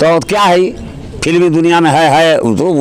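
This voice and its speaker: A man with a high pitch against noticeable background noise. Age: 70s. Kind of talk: street interview answer.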